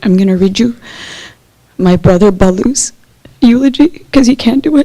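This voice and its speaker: She speaks in a plain, everyday voice with a fairly high pitch and lively intonation. Her pace is moderate and her loudness very even. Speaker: family member giving eulogy. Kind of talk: eulogy.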